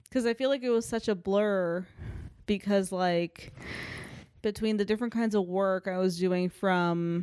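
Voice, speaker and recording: Her intonation fairly even, a woman speaks at a medium pitch and a very slow pace. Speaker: podcast co-host. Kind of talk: casual chat. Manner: monotone.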